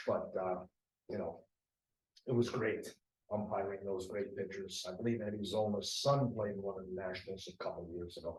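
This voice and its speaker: A man speaks with an American accent. His voice is somewhat breathy, and his intonation stays fairly even. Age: 70s. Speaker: softball umpire. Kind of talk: interview.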